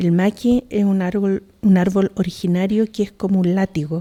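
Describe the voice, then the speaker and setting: A woman's medium-pitched voice, fairly slow and flat in a monotone. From southern Chile, Mapuche community. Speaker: poet. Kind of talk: talk. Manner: halting, with many repetitions.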